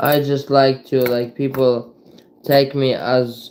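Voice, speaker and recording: The speaker has a non-native accent and monotone, flat intonation. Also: man. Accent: foreign. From Ukraine. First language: Ukrainian and Russian. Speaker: livestreamer. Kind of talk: casual livestream chat.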